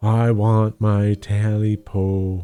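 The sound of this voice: Doing a put-on character voice, a man speaks at a fairly low pitch in monotone, flat intonation.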